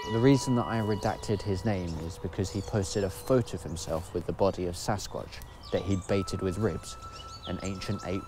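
Faint music plays behind a man whose very deep, low voice moves at a fairly quick pace, the sound dry with no echo. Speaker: video essay host. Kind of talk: scripted commentary. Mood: dry, sardonic. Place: forest.

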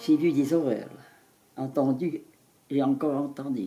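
A woman's very deep, low voice with ordinary pitch variation, music in the background. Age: 80s+. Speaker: former wartime Resistance member. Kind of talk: interview answer. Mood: moved, grave recollection. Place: home room.

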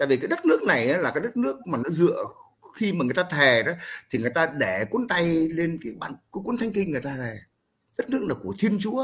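Talking at a fairly quick pace, a man with a high pitch moves through very wide pitch swings. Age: 70s. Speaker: Vietnamese-American elder; guest commentator. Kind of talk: casual chat; casual political conversation. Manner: halting, repetitive. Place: home room. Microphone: headset.

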